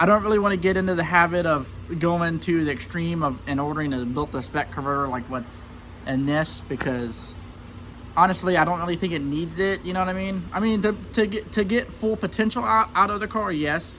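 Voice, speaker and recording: There is noticeable background noise as a man talks at a fairly quick pace. His voice sits high, with lively intonation. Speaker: car builder and racing YouTuber. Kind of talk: casual vlog chat. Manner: halting, many fillers.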